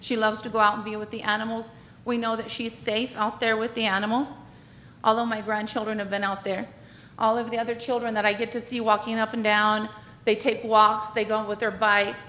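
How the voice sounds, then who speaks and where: A woman speaks loudly at a fairly quick pace in a fairly high, bright, sharp voice with flat, monotone intonation, and the room echo is audible. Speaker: public commenter, retired teacher. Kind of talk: public comment at council meeting. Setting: city council meeting.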